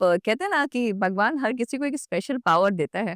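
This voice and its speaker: A woman speaks in a normal speaking voice at a fairly high pitch and a moderate pace, her intonation lively, on a very clean recording with a silent background and a dry, close sound with no echo. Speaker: radio jockey. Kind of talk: podcast interview answer.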